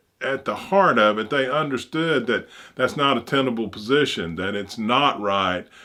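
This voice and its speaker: At a moderate pace, a man talks with an Alabama accent. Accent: Southern US (Alabama). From US South, Opelika, Alabama. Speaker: channel host, commentator. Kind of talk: personal monologue. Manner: halting.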